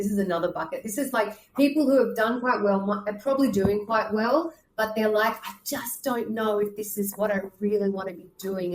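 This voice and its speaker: Over noticeable background noise, a woman with a strong Australian accent speaks at a fairly quick pace in a fairly high pitch. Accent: Australian, thick. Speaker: career and leadership coach. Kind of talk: podcast interview. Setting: video call.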